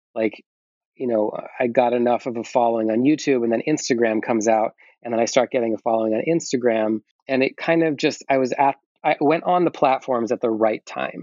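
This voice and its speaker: Speaking in a plain, everyday voice, a man keeps a fairly quick pace at medium pitch with ordinary pitch variation. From US Midwest (Iowa). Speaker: singer-songwriter. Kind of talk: casual chat.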